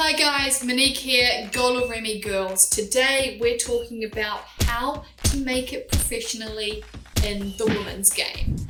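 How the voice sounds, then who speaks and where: Amid noticeable background noise and audible room echo, a woman with a New Zealand accent speaks at a fairly slow pace, high in pitch with ordinary pitch variation. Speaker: former professional women's footballer and channel host. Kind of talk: tutorial. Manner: clear, deliberate.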